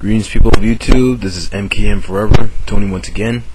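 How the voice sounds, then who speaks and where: A man is talking, with audible room echo and noticeable background noise in the recording. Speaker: YouTuber. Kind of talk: casual vlog. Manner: hesitant, many fillers.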